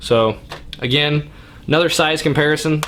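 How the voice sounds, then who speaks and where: A man's pitch rises and falls in an ordinary way as he speaks at a moderate speed, with noticeable noise in the background. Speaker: hunting channel host reviewing gear. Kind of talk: product review and unboxing. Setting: basement man cave, indoors.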